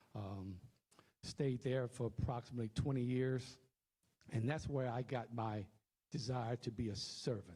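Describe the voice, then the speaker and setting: A man with an American accent speaks at a moderate pace and medium pitch. His voice is somewhat breathy, with a dark, mellow tone and fairly even intonation. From Louisiana, Cameron. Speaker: political candidate. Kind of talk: candidate forum speech. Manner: halting, with fillers.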